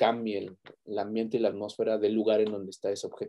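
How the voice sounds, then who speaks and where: A man is heard. His speech carries a Mexican accent. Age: 30s. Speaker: university lecturer. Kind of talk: interview storytelling. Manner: halting, repeats words.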